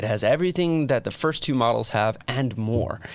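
A man with an American accent talking at a fairly quick pace, recorded very cleanly against a silent background. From New Jersey (Metuchen). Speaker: communication professor and podcast host. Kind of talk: lecture. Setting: studio.

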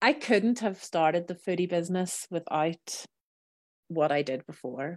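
The woman has a fairly low pitch and speaks at a fairly slow pace. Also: lively intonation, dry, close sound with no echo. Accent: Northern Irish. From Northern Ireland, Belfast. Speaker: cookery business owner. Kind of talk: interview.

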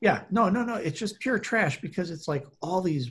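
Its pitch moves in a lively way. A bit of breathiness runs through the voice. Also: man. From US Midwest. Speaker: podcast co-host. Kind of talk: casual chat.

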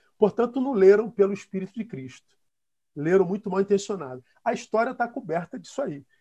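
Here a man talks at a fairly quick pace in a high pitch, with lively intonation and big swings in loudness. The recording is dry and close, with no echo. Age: 50s. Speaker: pastor. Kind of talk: casual chat.

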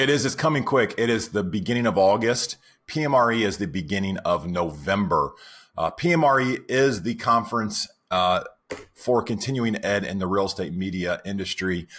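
A man with an unremarkable speaking voice and a fairly low pitch talks at a moderate pace with lively intonation. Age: 40s. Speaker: software company founder and podcast co-host. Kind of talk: casual chat.

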